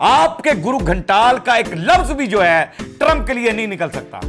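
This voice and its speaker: Over music in the background, a man with a high pitch talks in an animated tone, his pitch swinging very widely. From Pakistan. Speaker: political comedy vlogger. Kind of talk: political commentary vlog to camera. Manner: animated, mocking.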